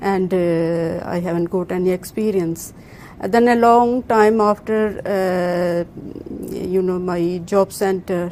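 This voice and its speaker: Noticeable background noise sits behind a woman who speaks at a very slow pace with fairly even intonation. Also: medium pitch for a woman. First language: not English. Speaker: employment scheme participant. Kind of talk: interview. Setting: office, live broadcast. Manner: halting, many fillers.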